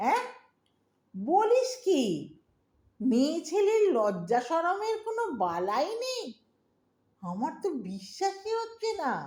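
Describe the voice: A woman's put-on character voice, extremely high in pitch with big pitch swings, a slightly mellow tone, and a slow pace.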